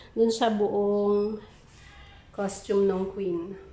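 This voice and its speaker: Over noticeable background noise, a woman speaks at a medium pitch in a monotone, flat delivery. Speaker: crafts vlogger. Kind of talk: casual vlog narration.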